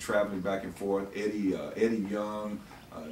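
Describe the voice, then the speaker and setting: A man speaks at a moderate pace in a fairly low pitch. Audible room echo and light background noise fill the recording. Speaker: interviewer sharing memories. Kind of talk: conversational storytelling. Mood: nostalgic, proud, amused. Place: home room.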